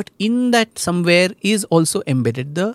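In a plain, everyday voice, a man talks at a moderate pace with ordinary pitch variation, recorded very cleanly against a silent background with a dry, close sound and no echo. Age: young. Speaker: author and historian. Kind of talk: interview. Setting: studio.

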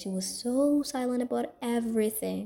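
Very slowly, a woman speaks in a fairly high pitch, her tone dark and mellow and somewhat breathy. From Saudi Arabia, Somali family. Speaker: podcast host. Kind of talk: personal storytelling monologue. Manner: casual, filler-heavy with self-corrections.

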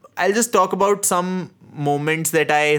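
A man is speaking. He has an Indian accent. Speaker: podcast host. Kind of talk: casual chat, film discussion.

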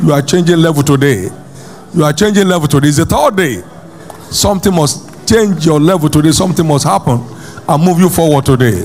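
Against noticeable background noise, a man with a fairly high pitch talks fairly quickly, with very even loudness and ordinary pitch variation. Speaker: pastor. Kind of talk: fervent preaching with repeated exhortations and prayer. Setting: church with congregation. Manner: emphatic, rhythmic, repeating phrases for effect.

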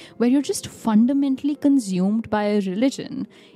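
Fairly quick speech from a woman, music playing behind her. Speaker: podcast co-host. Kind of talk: casual chat. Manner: enthusiastic.

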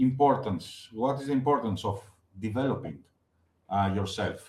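This is a man speaking at medium pitch. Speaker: podcast host. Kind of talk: interview, moderated questions.

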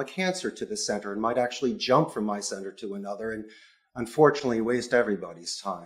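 With an American accent, a man speaks in an ordinary speaking voice at a medium pitch and a fairly quick pace. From Philadelphia, US. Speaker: call center CEO. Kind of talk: interview conversation.

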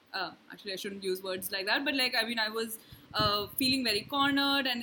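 A woman's fairly high voice at a very fast pace, with fairly even intonation and noticeable background noise. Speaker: podcast host, writer. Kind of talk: casual chat.

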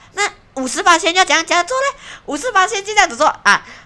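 Raised and projected, a woman's bright, sharp, animated voice swings very widely in pitch. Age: 20s. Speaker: podcast host. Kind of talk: casual monologue. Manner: animated, rambling with fillers.

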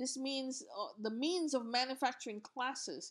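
A woman with an Indian accent speaks at a fairly slow pace with ordinary pitch variation, on a very clean recording with a silent background. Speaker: podcast host. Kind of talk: educational solo podcast monologue. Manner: halting, many filler sounds.

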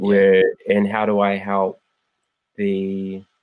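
Here a man speaks with a New Zealand accent. His voice is fairly low. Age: 30s. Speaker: former fighter and anti-violence advocate. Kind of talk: casual chat.

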